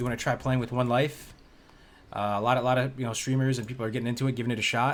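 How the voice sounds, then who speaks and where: A man at medium pitch and a very fast pace. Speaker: video game streamer. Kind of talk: live gameplay stream chat. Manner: casual, hesitant with fillers.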